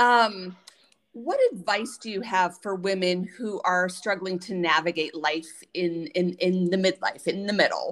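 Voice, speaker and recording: A woman with a normal speaking voice speaks at a fairly slow pace with ordinary pitch variation. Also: medium pitch for a woman. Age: 50s. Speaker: podcast host. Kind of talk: casual interview.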